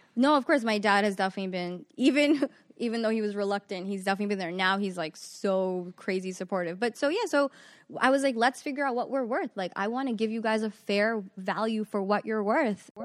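Recorded very cleanly against a silent background, a woman talks at a fairly quick pace with a fairly high pitch and ordinary pitch variation. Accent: New York. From New York (Queens, Long Island). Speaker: magazine CEO. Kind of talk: casual interview.

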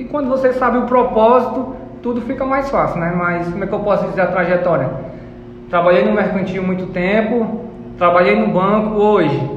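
Audible room echo surrounds a man with a high pitch. There is also noticeable background noise. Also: ordinary pitch variation, moderate pace. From Brazil, Ceará (Guaiúba, interior). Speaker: entrepreneur. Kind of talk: interview. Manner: halting.

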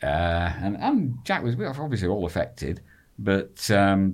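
A man speaks fairly slowly with a Lancashire accent. The recording is very clean, with a silent background. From northern England. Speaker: football fan, expat. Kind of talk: casual chat.

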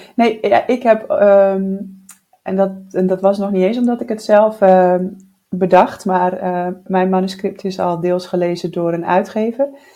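A woman talks with an ordinary speaking voice and fairly even intonation. Her pitch is medium. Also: fairly slow pace. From Netherlands (Groningen). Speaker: writing podcast co-host, novelist. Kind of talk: casual chat. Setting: at a kitchen table.

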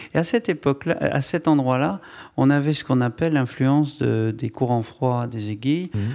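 Medium-pitched man with a dark, mellow tone, ordinary pitch variation and a moderate pace, on a very clean recording with a silent background. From France, Bordeaux region. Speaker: wine estate director. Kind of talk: public interview. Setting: stage with audience.

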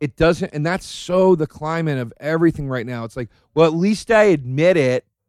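An animated man with an American accent talks at a moderate pace in a fairly high pitch, with ordinary pitch variation and big swings in loudness. The sound is dry and close, with no echo. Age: 30s. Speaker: comedian, podcast host. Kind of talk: casual chat. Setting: studio.

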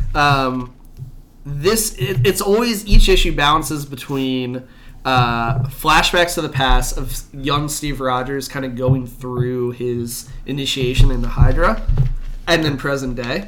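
A man's fairly high, bright and sharp voice at a fairly slow pace, with audible room echo. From Canada. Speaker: podcast co-host. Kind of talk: casual chat.

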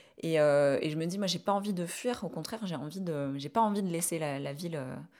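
A fairly slow pace with ordinary pitch variation. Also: woman. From southern France, Ariège. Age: 30s. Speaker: urban farmer and YouTuber. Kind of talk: interview testimony. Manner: halting, many repetitions.

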